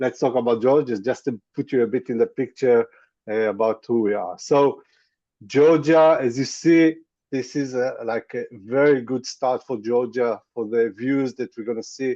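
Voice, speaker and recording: Speaking with an Israeli accent, a man has a dark, mellow tone and ordinary pitch variation. His moderate pace comes through dry and close, with no echo. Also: medium pitch for a man, quiet background. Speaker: tour guide. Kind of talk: webinar presentation. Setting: video call. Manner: halting, many fillers.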